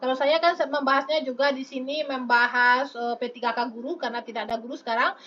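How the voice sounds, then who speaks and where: Raised and projected, a woman's high-pitched voice carries a bright, sharp tone. She moves at a fairly quick pace. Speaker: online exam-prep tutor. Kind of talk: live stream tutorial answering chat. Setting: live stream. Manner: lively, chatty with many fillers.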